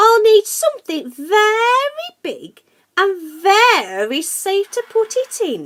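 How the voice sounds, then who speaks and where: The speaker uses a put-on character voice at a very slow pace. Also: woman, extremely high pitch for a woman. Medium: read story.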